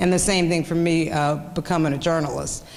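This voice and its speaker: With a Kansas accent, a woman speaks at a fairly quick pace and a fairly low pitch, her intonation fairly even. Audible room echo and noticeable background noise surround her. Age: 50s. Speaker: journalist. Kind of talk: lecture. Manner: halting.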